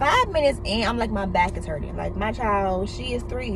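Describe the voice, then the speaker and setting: Noticeable background noise and audible room echo accompany a woman who talks at a moderate pace in an animated tone. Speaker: YouTuber. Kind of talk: casual vlog monologue while eating. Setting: in a car.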